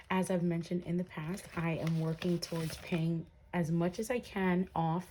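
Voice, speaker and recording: Whispering and soft-spoken, a woman talks at a fairly slow pace in a somewhat breathy voice. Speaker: budgeting vlogger. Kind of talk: casual tutorial vlog. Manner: soft-spoken, whispering; hesitant, many fillers.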